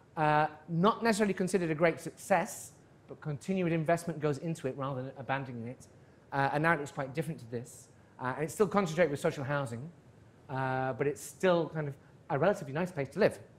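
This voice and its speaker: Speaking very fast with a British accent, a man uses a fairly high, somewhat breathy voice with ordinary pitch variation and big swings in loudness. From northern England (Darlington). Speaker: professor. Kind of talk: lecture.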